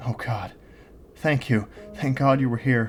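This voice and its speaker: A raspy man puts on a character voice at medium pitch and moderate pace, with music playing in the background. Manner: quiet, grateful.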